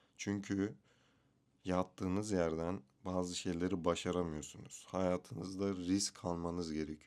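With a very deep, low voice, a man speaks fairly slowly in a monotone, flat intonation. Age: 20s. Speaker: vlogger. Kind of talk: casual vlog monologue. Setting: bedroom at home, self-recorded video.

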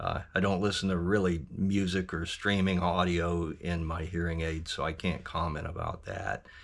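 An American man talks at a moderate pace in a very deep, low pitch. His intonation is monotone and flat. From US South, Georgia. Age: 60s. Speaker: hearing aid user giving a review. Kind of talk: testimonial review. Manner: halting, many fillers. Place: workshop. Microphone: phone near.

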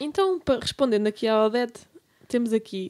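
A woman talks in a normal speaking voice at a moderate pace. Her pitch shows ordinary variation. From Lisbon, Portugal. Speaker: podcast co-host. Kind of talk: casual chat.

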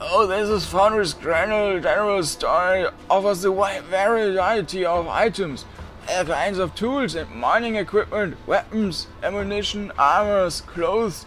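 Putting on a character voice, a man speaks fairly slowly in a high, breathy, raspy tone against clear background noise. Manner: friendly, welcoming.

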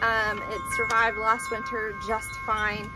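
A woman speaks. Clear music is heard in the background. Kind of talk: casual tutorial vlog. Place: garden. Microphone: phone near.

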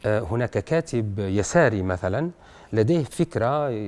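Very slow speech from a man with fairly low pitch and lively intonation. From Algeria. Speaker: writer and poet; poet. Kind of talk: radio interview. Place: studio. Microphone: lapel.

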